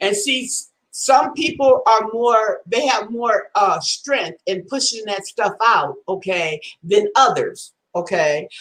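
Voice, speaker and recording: Speaking at a very slow pace, a woman uses lively intonation and fairly high pitch. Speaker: livestream host chatting with viewers. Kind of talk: casual livestream chat reading viewer comments. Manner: halting, many fillers and repetitions.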